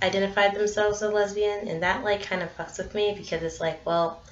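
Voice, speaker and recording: A woman's medium-pitched voice at a fairly quick pace, with fairly even intonation and audible room echo. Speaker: vlogger. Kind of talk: casual vlog monologue. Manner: hesitant, filler-heavy.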